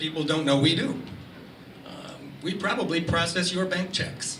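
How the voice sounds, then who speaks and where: A high-pitched man at a moderate pace, with audible room echo and noticeable background noise. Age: 60s. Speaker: marketing executive and speaker. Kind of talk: presentation to an audience. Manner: animated.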